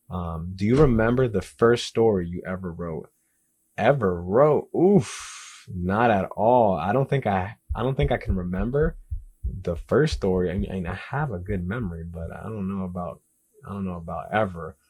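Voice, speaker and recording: A man with an American accent has a very deep, low pitch. His intonation is lively. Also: moderate pace, big swings in loudness, quiet background. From Dominican Republic and US Northeast/South. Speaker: indie author. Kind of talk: Q&A interview, self-asked questions. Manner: clear, confident, no stuttering.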